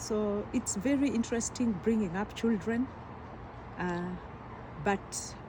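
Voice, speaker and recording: Here a woman with a Kenyan accent speaks at a fairly slow pace. Her voice is fairly high, and its pitch varies in an ordinary way. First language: Kikuyu. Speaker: teacher and community health doctor. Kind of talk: interview.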